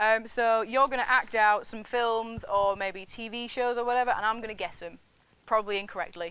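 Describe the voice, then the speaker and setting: In a northern English accent, a woman speaks at a fairly quick pace in a fairly high voice with a bright, sharp tone, fairly even intonation and big swings in loudness. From northern England. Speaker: student TV show host. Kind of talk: casual interview.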